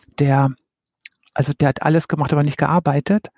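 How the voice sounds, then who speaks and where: A woman speaks in a somewhat breathy voice. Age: 50s. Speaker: head of people development. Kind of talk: casual interview.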